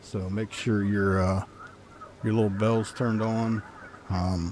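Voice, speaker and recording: Over noticeable background noise, a soft-spoken man talks at a fairly low pitch and a fairly slow pace, with monotone, flat intonation. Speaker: gaming live streamer. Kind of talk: casual live stream commentary.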